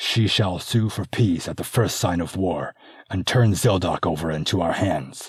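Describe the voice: The pitch moves in an ordinary way. It is plain reading aloud.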